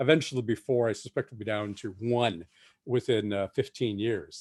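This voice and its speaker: A man's dark, mellow tone at a fairly quick pace, dry and close with no echo, over a quiet background. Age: 60s. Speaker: science fiction novelist. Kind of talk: festival talk.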